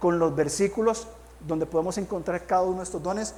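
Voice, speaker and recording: The speaker is a man with a high pitch. He moves along at a fairly quick pace. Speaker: pastor. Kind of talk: sermon.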